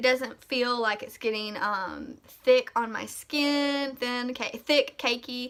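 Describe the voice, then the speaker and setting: A high-pitched woman with a Southern US accent at a very slow pace, fairly even intonation and hardly any pauses. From US South, Mississippi. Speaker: beauty vlogger. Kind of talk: product review tutorial. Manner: casual, many fillers.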